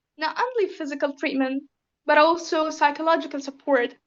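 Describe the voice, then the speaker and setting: A woman with a Syrian accent speaks at a high pitch with ordinary pitch variation. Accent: Syrian Arabic accent in speech. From Syria (raised in Lebanon). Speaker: refugee interviewee. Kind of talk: interview. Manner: hesitant, many fillers.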